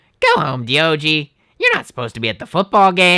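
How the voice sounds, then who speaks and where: A man puts on a playful character voice, raised and projected. He talks at a very fast pace in a fairly high pitch. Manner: scolding, playful.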